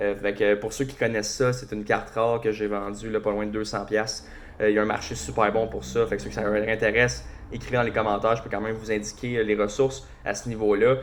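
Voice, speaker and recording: A man speaks very fast in a Quebec accent. His pitch is fairly low. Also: ordinary pitch variation. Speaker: hockey podcast host. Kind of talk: casual solo podcast commentary. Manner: casual, hesitant with many fillers.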